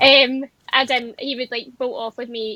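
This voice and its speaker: A woman's high-pitched, monotone, flat delivery at a moderate pace. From Scotland, North Ayrshire. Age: 20s. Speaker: amateur event rider. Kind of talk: podcast interview.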